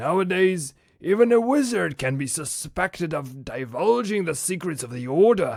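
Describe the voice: Put-on character voice from a man, pitched high, delivered at a moderate speed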